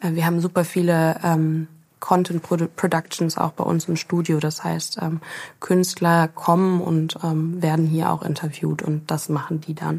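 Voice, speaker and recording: Speaking at a fairly slow pace, a woman with a fairly low pitch keeps her intonation monotone and flat. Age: 30s. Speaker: agency founder. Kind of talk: interview.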